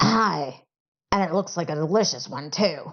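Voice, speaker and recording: A raspy, put-on character voice at a middle pitch delivers the lines at a moderate pace. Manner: ogling, solicitous.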